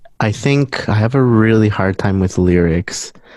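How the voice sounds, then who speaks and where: A man talks at a fairly slow pace. His voice is fairly low, with a dark, mellow tone. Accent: Spanish. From Guatemala. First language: Spanish. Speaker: musician. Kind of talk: interview. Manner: halting.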